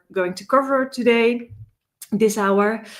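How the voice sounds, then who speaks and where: Speaking at a very slow pace, a woman talks with a Dutch accent. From Netherlands. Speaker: data security consultant, conference speaker. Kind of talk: conference talk. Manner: many filler words and hesitations.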